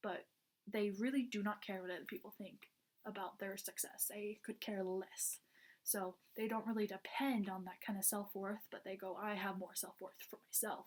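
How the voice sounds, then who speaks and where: Monotone, flat intonation marks a woman's speech. She talks at a moderate pace with a medium pitch. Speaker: college student. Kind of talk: class presentation. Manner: casual, filler-heavy.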